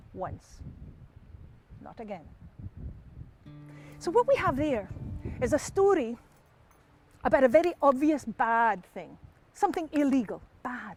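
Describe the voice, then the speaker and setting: A man with a Scottish accent at an extremely high pitch, very wide pitch swings and big swings in loudness, a fairly slow pace with long, frequent pauses, and music in the background. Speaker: storyteller. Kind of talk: live storytelling performance. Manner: lively, humorous.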